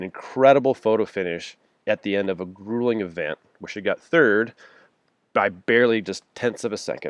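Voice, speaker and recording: A man's normal speaking voice at medium pitch, with ordinary pitch variation, a fairly quick pace, a quiet background and a dry, close sound with no echo. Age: 40s. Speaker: podcast host. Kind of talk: scripted intro and sponsor read; casual interview.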